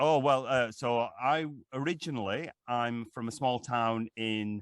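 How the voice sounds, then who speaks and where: A man at a medium pitch in a Lancashire accent, with ordinary pitch variation and a fairly slow pace. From northern England, Lancashire. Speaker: actor and voiceover artist. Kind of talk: interview. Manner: halting, many fillers and repeats.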